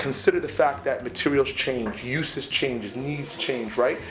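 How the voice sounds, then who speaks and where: A man talks at a fairly quick pace and a fairly high pitch with ordinary pitch variation, with noticeable background noise behind him. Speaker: youth business trainer. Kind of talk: coaching feedback to students.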